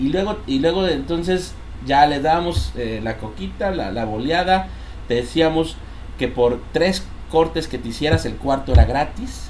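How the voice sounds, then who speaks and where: A man with a Mexican accent speaks at a fairly slow pace amid noticeable background noise and audible room echo. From Mexico (born Mexico City, raised near Villahermosa, Tabasco). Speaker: entrepreneur and podcast co-host. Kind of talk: casual chat. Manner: halting, many repetitions.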